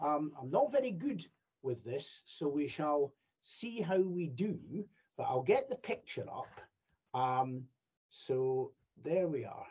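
A man with a Scottish accent talks very slowly, leaving long, frequent pauses. His pitch swings very widely over a quiet background. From Scotland. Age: 60s. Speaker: judge and royal ceremonial official. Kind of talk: lecture. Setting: video call. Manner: halting. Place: home room. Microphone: video call.

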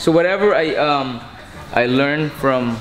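A man's pitch varies in an ordinary way while noticeable background noise is heard. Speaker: boxing coach. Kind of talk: interview answer. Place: gym.

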